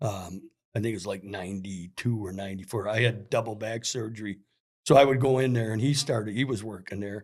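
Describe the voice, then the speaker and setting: In an Upper Midwest accent, a man with a fairly low pitch speaks at a fairly quick pace with fairly even intonation. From Minnesota. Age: 60s. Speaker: hockey store employee. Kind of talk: casual chat. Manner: halting.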